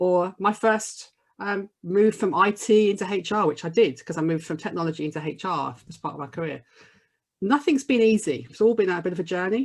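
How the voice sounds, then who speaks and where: Lively intonation from a woman at medium pitch, her pace fairly quick. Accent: Birmingham. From Birmingham, English Midlands. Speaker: diversity and inclusion coach. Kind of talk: podcast interview.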